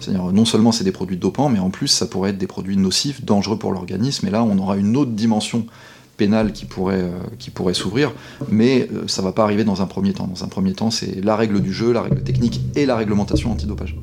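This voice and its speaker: Very rapid talk with normal pitch movement against audible background noise. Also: man, fairly low pitch for a man. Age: 40s. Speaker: sports lawyer. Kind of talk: interview. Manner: halting.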